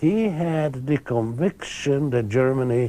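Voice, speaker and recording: With a Hungarian accent, a man of medium pitch speaks in a dark, mellow tone marked by very wide pitch swings. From Hungary. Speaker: historian and author. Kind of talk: interview.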